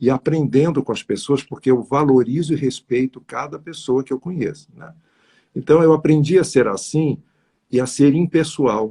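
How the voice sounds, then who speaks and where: Dry and close with no echo, a man's fairly high, somewhat breathy voice has a dark, mellow tone, ordinary pitch variation, a moderate pace and big swings in loudness. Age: 60s. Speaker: numerologist. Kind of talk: interview on live stream. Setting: live stream.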